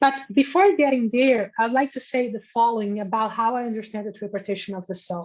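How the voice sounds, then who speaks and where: A woman with a non-native accent speaks at a fairly high pitch, her loudness swinging widely. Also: ordinary pitch variation, fairly quick pace. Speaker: philosophy scholar. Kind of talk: academic Q&A answer. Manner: halting.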